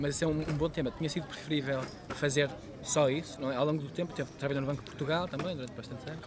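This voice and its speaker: A man's fairly high, monotone voice with flat intonation at a very fast pace, over noticeable background noise. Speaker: podcast host. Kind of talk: interview questions.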